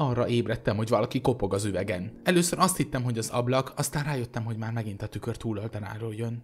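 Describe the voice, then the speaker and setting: Very fast and with hardly any pauses, a somewhat breathy voice carries ordinary pitch variation in a very clean recording with a silent background. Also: man, medium pitch for a man. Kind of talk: creepypasta reading aloud, ghost story telling.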